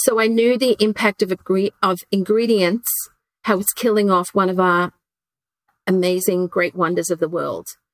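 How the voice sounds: The sound is dry and close with no echo as a woman speaks at a fairly slow pace.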